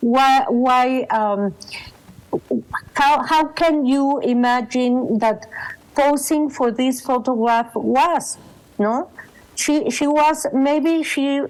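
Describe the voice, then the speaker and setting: A woman speaks at a high pitch. She has a Mexican accent. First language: Spanish. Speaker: photographer and exhibition co-curator. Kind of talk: panel talk. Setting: video call. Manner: halting.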